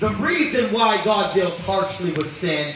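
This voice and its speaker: A man speaks very slowly in a raised, projected voice with ordinary pitch variation, audible room echo and light background noise. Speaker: pastor. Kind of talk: sermon. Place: church. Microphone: handheld.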